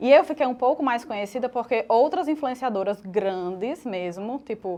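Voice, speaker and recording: Against a quiet background, a woman with a high pitch speaks at a moderate pace with lively intonation. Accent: strong northeastern Brazilian. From Northeast Brazil, Natal. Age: 30s. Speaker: makeup artist and fashion influencer. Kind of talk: podcast interview.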